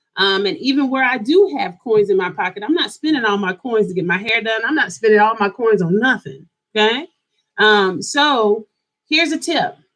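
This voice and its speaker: A woman with an American accent speaks at a fairly high pitch and a moderate pace. Her tone is animated, and her pitch swings very widely. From US South, Greensboro, North Carolina. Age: 40s. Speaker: lifestyle YouTuber. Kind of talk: casual livestream chat. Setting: at home, live stream.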